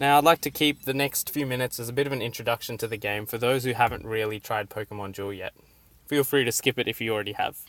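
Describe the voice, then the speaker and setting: A man with an Australian accent talks at a very fast pace and medium pitch with fairly even intonation, in a dry, close sound with no echo, as music plays in the background. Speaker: gaming YouTuber. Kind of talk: game tutorial with live gameplay commentary; channel introduction.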